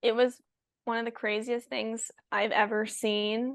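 Speaking very slowly in a Californian accent, a woman uses a high-pitched voice. The sound is dry and close with no echo, against a quiet background. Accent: General American, Californian. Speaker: pro pickleball player and college student. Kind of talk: casual chat.

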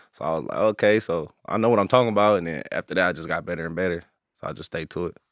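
A man speaks very fast with an American accent. His voice is very deep and low, with ordinary pitch variation. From Inglewood, Los Angeles. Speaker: rapper. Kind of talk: interview.

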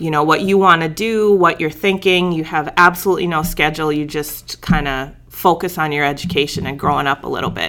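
A woman with an Upper Midwest accent speaks at a fairly low pitch with ordinary pitch variation. She talks fairly quickly over noticeable background noise. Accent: Upper Midwest American. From North Dakota. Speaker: biology professor. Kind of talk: casual interview.

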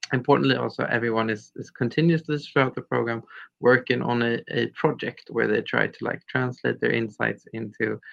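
At a moderate pace, a man speaks with a Swedish accent. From Sweden, Stockholm area. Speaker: nonprofit leader. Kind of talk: interview.

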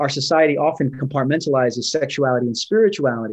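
With a New York accent, a man speaks in fairly even intonation. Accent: New York American. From New York, Brooklyn. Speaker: pastor. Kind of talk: interview on faith and rest. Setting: remote video call. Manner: frequent hesitations and fillers.

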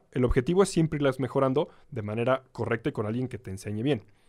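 On a very clean recording with a silent background, a man with a Mexican accent speaks at a very fast pace with lively intonation. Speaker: motorcycling instructor. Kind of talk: casual interview. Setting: studio.

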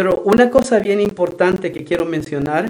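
A man speaks with ordinary pitch variation. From El Salvador. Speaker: nonprofit executive director. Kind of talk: radio interview.

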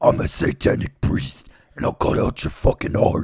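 A man adopts a raspy, put-on character voice with a very deep, low pitch, delivered at a moderate pace. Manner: menacing.

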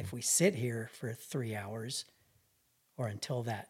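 A man speaks at a fairly slow pace and sounds somewhat breathy. His medium pitch has ordinary variation. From New Mexico, Albuquerque. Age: 40s. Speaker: hunting guide. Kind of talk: casual interview.

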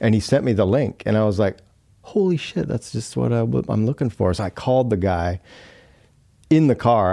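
A man talks in a dark, mellow tone against a quiet background. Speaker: motorcycle enthusiast. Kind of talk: casual chat. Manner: animated.

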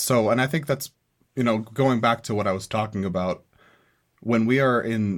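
The recording is very clean, with a silent background. A man speaks in an unremarkable speaking voice, fairly low in pitch with ordinary pitch variation. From US, small town, Mexican-American family. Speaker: student podcast host. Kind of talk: solo commentary podcast.

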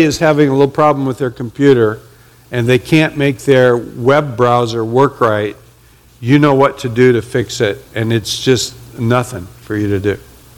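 This man speaks at a moderate pace in a medium pitch with ordinary pitch variation. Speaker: pastor. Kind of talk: sermon. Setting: church with congregation. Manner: loud.

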